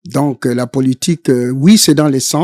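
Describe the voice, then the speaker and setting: The tone is dark and mellow, delivered at a moderate pace. Sound is dry and close, without echo. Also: man. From DR Congo, Sankuru province. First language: Tetela (speaking French). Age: 70s. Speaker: Congolese political activist. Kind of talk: interview. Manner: hesitant, frequent fillers.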